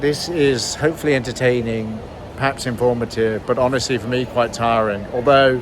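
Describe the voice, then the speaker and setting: A man with a British accent talks at a moderate pace. There is noticeable background noise. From Britain. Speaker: vlogger. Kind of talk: vlog narration. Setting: hospital, walking around. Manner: casual, hesitant with fillers.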